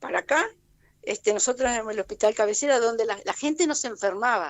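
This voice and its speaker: The pace is fairly quick. A woman talks at a high pitch. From Argentina, Alto Valle of Río Negro (Allen). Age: 70s. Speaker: community activist. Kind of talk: radio interview. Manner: halting, with many false starts.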